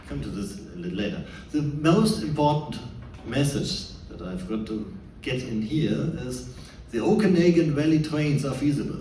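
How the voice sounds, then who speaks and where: A man with a German accent, fairly high-pitched, at a moderate pace, with very wide pitch swings, audible room echo and noticeable background noise. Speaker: scientist and former policy advisor. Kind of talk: presentation talk. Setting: stage with audience. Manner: halting.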